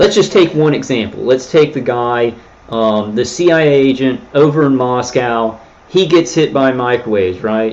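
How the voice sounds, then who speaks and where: His pitch sits at a medium level for a man and shifts with ordinary variation. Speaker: livestreamer describing himself as targeted individual. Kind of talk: livestream monologue. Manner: loud; animated.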